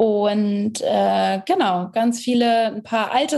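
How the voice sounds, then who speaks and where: A woman's voice with a dark, mellow tone. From northern Germany, Hamburg area. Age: 20s. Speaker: singer-songwriter. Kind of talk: interview.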